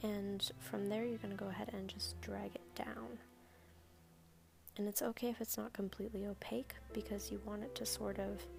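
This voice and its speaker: Soft-spoken, a woman talks at a moderate pace with long, frequent pauses. Noticeable background noise runs underneath. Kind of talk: makeup tutorial voice-over.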